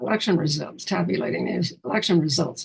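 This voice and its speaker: A woman speaks with vocal fry. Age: 90s. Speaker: retired mayor and planning commissioner. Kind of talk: interview. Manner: halting, many false starts.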